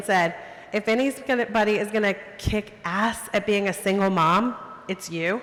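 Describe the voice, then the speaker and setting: With noticeable background noise behind her, a woman with an American accent talks at a fairly high pitch and fairly even intonation. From US South. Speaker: photographer. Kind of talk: storytelling talk.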